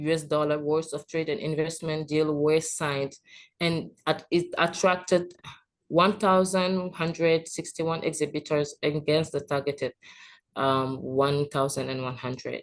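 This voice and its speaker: Against a quiet background, a woman speaks with a very deep, low pitch and fairly even intonation. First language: French. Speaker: trade expert presenter. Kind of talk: presentation. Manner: halting.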